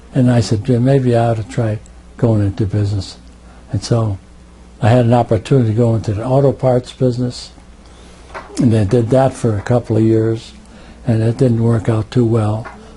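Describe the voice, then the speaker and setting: In an American accent, a man talks with monotone, flat intonation and long, frequent pauses. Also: medium pitch for a man, moderate pace. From Connecticut, New Britain. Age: 80s+. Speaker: war veteran. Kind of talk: oral history interview. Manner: halting, repeats words.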